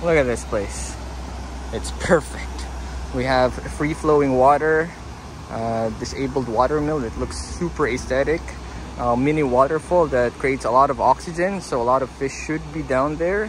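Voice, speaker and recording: Over noticeable background noise, a man speaks at a moderate pace in a dry sound with no echo. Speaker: angler vlogger. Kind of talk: casual vlog chat. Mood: hopeful, pleased. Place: waterside. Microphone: phone near.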